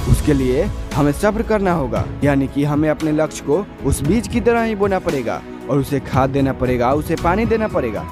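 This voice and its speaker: A man's fairly high voice with lively intonation and very even loudness, over music in the background. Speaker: motivational speaker. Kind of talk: motivational speech.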